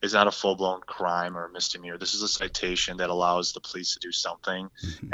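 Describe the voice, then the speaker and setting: A man with a Wisconsin accent talks at a moderate pace and a fairly low pitch. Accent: Upper Midwest (Wisconsin). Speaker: state senator. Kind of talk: interview.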